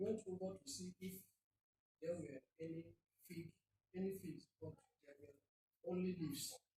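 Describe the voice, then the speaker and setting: The speaker keeps a moderate pace, with long, frequent pauses. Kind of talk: Bible reading aloud in church.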